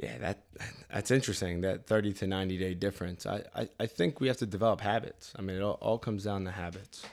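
Talking at a very fast pace, a man with a Philadelphia accent keeps a fairly low pitch and ordinary pitch variation. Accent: Philadelphia-area American English. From US Northeast (Delaware County, Pennsylvania). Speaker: physical therapist. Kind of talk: casual chat.

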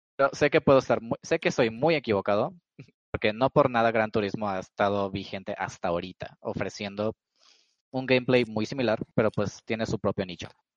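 Medium-pitched man with a plain, everyday voice, ordinary pitch variation and a moderate pace, against a quiet background. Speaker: podcast host. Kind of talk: casual chat. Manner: joking, playful.

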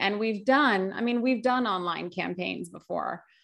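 Speaking with an American accent, a woman talks in an ordinary speaking voice at a fairly slow pace with ordinary pitch variation, against a quiet background. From US, Greek American family. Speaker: agency founder and nonprofit community director. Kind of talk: casual interview chat. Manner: casual, many fillers like 'like' and 'you know'.

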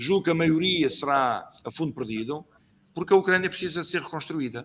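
With lively intonation, a man's speech moves along at a moderate pace. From Portugal, Lisbon (Alfama). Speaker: trade union leader. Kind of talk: interview. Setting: online live stream.

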